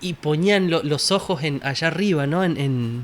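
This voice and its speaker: A man with a Uruguayan accent, fairly high in pitch, with ordinary pitch variation. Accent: Rioplatense Spanish (Uruguayan). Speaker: Bible study panelist. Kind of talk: Bible study discussion.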